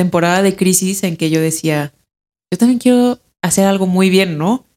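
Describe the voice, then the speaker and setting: A woman with a Mexican accent speaks at a fairly low pitch. The recording is dry and close, with no echo. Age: 30s. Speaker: ceramic artist. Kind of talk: casual chat. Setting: home studio.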